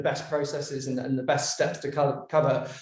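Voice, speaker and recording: A man with an English accent, amid noticeable background noise and audible room echo. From London, England. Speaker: creative director, brand designer. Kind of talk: podcast interview. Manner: hesitant, many fillers and repeats.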